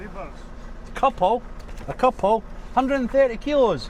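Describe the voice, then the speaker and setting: The speaker talks at a very slow pace in a strong Scottish accent. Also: man. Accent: Scottish, thick. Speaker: truck driver. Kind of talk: vlog commentary while driving. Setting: in a truck. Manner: casual, chatty.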